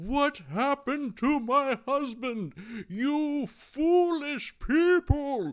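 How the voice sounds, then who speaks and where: In a put-on character voice, a man speaks very slowly at an extremely high pitch, on a very clean recording with a silent background. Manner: angry, scolding.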